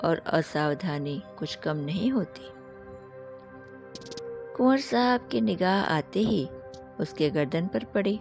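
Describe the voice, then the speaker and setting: Over background music, a soft-spoken woman talks with lively intonation. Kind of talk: sleep story. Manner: soft-spoken, meditative.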